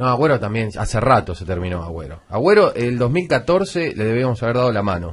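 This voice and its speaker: A man with a Rioplatense accent talks at a fairly quick pace with hardly any pauses. His pitch swings are very wide. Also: medium pitch for a man. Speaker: sports radio panelist. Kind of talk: heated debate. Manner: fast.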